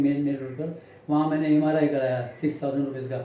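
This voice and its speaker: A man speaks in a monotone, flat intonation, with audible room echo and noticeable background noise. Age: 70s. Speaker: accident victim interviewed by local news. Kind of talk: interview testimony. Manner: halting.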